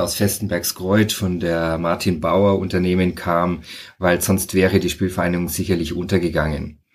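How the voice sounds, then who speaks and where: In a very clean recording with a silent background, a man talks. His pitch is very deep and low, and his pace moderate. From Franconia, Bavaria (rural). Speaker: sociologist and author. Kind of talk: casual interview.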